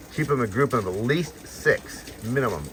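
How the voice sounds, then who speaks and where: A man speaks at a medium pitch with lively intonation. Noticeable background noise runs under his voice. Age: 60s. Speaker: fish breeder. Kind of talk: casual tutorial. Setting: barn. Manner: casual, hesitant with fillers.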